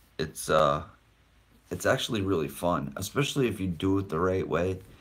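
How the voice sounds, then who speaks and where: A man is speaking. His voice is very deep and low. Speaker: paranormal livestreamer. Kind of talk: live stream chat. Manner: casual.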